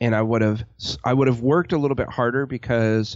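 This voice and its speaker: An ordinary speaking voice from a man, medium in pitch with ordinary pitch variation. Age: 40s. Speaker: web design business owner, army veteran. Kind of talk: casual interview.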